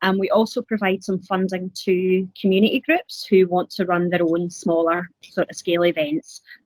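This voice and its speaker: With a slight Scottish accent, a woman of medium pitch speaks at a moderate pace with ordinary pitch variation and hardly any pauses, in a dry, close sound with no echo. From Scotland, Glasgow. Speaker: council community services officer. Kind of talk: webcast interview. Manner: halting, many fillers.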